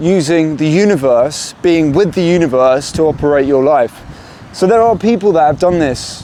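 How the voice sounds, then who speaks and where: Man with a fairly high pitch, moderate pace, ordinary pitch variation and very even loudness, over noticeable background noise. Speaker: self-help video maker. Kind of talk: motivational monologue. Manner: halting.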